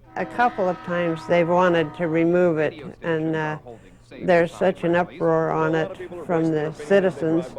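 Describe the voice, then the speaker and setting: Here a woman with an American accent speaks at a fairly low pitch and moderate pace. Her pitch varies in an ordinary way, with noticeable background noise behind her. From Las Vegas, Nevada. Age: 70s. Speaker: sign designer. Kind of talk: interview testimony. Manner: halting, many fillers.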